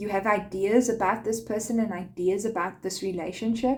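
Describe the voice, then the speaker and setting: At a fairly slow pace, a woman speaks at medium pitch with vocal fry. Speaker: tarot card reader. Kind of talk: tarot reading.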